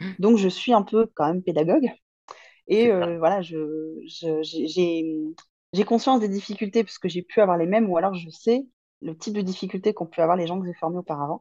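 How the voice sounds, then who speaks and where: At a medium pitch, a woman speaks in a dark, mellow tone. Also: ordinary pitch variation, moderate pace. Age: 30s. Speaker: business mentor. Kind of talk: casual interview.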